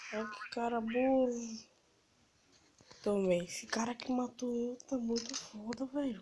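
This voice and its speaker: Noticeable background noise surrounds a woman who speaks very slowly in a fairly high, flat, monotone voice. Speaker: gamer. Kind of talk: casual gameplay commentary.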